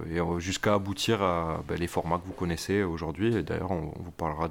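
A man with a Toulouse accent speaks at a fairly quick pace in a very deep, low voice, his intonation fairly even. The recording is very clean, with a silent background. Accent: southern French (Toulouse). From Toulouse, southern France. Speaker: podcast co-host. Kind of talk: casual chat.

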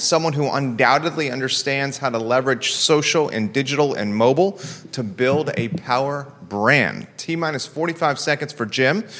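With hardly any pauses, a man talks in a fairly high pitch with ordinary pitch variation. Noticeable background noise runs beneath his voice. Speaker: talk show host. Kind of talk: interview conversation. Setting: studio, live broadcast.

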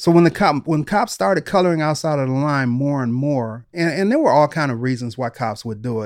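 Over a quiet background, a man with an American accent uses an unremarkable speaking voice, fairly high in pitch, talking at a fairly quick pace with lively intonation and hardly any pauses. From Detroit, US Midwest. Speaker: retired police detective and author. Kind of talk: interview storytelling.

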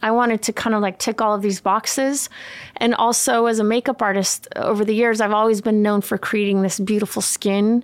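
Speaking in an American accent at a fairly quick pace, the voice holds very even loudness and a monotone, flat intonation, with a dry, close sound and no echo. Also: woman, fairly high pitch for a woman. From California and Sweden. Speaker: makeup artist and beauty brand founder. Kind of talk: casual chat.

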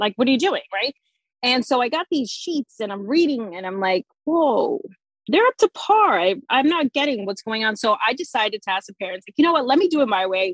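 In a New Jersey accent, a woman talks at a fairly quick pace with a high pitch, very wide pitch swings and big swings in loudness, the sound dry and close with no echo. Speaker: sensory play educator, former teacher. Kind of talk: casual interview chat.

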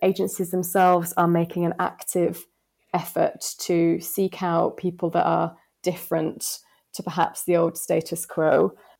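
In a very clean recording with a silent background, a woman with a Yorkshire accent speaks fairly slowly at a fairly low pitch, monotone and flat, with vocal fry. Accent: northern English, Yorkshire. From West Yorkshire, England. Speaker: planner. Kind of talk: casual interview chat.

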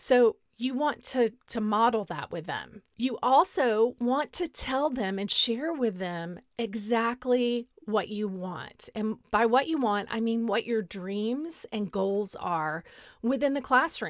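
A woman with a Texas accent speaks at a very slow pace in a fairly high voice with lively intonation, on a very clean recording with a silent background. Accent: Southern US (Texas). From Southeast Texas, Beaumont. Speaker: podcast host, educator. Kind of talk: solo podcast talk.

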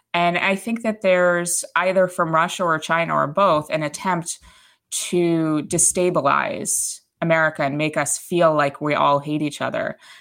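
A woman in an unremarkable speaking voice talks at a moderate pace. Her pitch is fairly low and her intonation fairly even. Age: 30s. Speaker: conservative columnist. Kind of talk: casual interview.

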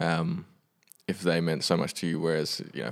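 At a fairly quick pace, a man with vocal fry and a very deep, low pitch speaks on a very clean recording with a silent background. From Western Australia, then New Zealand from age 16. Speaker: musician. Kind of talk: casual interview.

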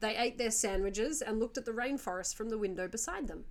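Her pitch is fairly high for a woman. She shows ordinary pitch variation.

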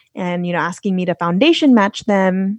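In a Californian accent, a woman at medium pitch talks with fairly even intonation against a quiet background, in a dry, close sound with no echo. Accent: general American, Californian. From Los Angeles, California. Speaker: podcaster and traveler. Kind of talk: casual conversational interview.

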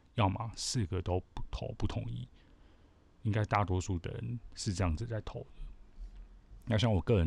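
Vocal fry colors a man's dark, mellow tone as he speaks at a moderate pace with lively intonation. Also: very clean recording, silent background. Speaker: podcast host. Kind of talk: solo commentary monologue.

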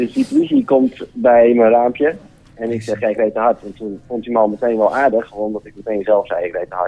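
A man speaks with an unremarkable speaking voice. His pace is moderate. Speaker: caller. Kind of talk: telling an anecdote.

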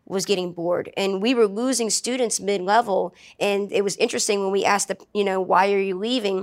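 A woman talks at a fairly quick pace in a normal speaking voice, with an American accent. Her pitch sits in the medium range, and her intonation stays fairly even. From New Orleans, US South. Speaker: martial arts instructor and entrepreneur. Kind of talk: casual interview.

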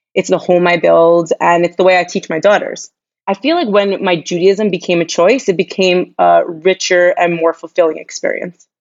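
A woman with an American accent speaks in a plain, everyday voice at a fairly low pitch. Her pace is moderate and her intonation fairly even. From US Northeast, Long Island, New York. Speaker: nonprofit entrepreneur and philanthropist. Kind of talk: casual interview.

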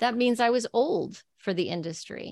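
A woman speaks with an American accent and ordinary pitch variation. The sound is dry and close with no echo, over a quiet background. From El Paso, Texas. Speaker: podcast host.

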